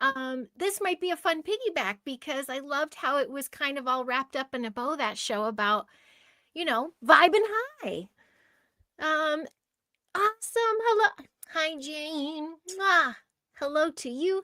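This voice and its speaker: A woman speaks in a raised, projected, squeaky voice with a high pitch, very wide pitch swings and a bright, sharp tone, at a fairly slow pace with long, frequent pauses, on a very clean recording with a silent background and a dry, close sound with no echo. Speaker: host of a group audio chat. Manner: loud, tends to shout; lively, bubbly greeter.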